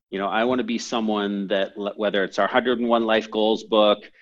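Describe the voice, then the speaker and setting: Speaking at a moderate pace with a Canadian accent, this is an unremarkable speaking voice. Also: man. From Canada, moved from San Francisco at seven or eight. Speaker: entrepreneur and company CEO. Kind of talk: podcast interview. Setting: call.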